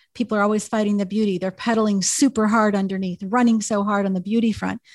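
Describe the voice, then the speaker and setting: Recorded very cleanly with a silent background and a dry, close sound with no echo, a woman speaks at a fairly quick pace in a medium pitch, somewhat breathy, with fairly even intonation. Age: 50s. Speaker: podcast host. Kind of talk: interview.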